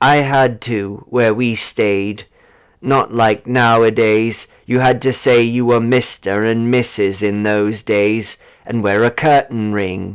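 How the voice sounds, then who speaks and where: Using a put-on character voice, a man speaks slowly-ish at a fairly slow pace, medium in pitch, with fairly even intonation. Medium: read story. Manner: hesitant, subdued.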